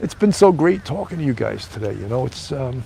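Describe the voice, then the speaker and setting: Talking fairly quickly, a man with a New York accent uses a medium pitch with very wide pitch swings. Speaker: live streamer hosting own show. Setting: outdoors. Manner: casual, chatty, many filler words.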